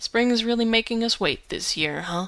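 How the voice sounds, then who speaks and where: A woman's put-on character voice, fairly high in pitch, with very wide pitch swings at a moderate pace. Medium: read story. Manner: polite.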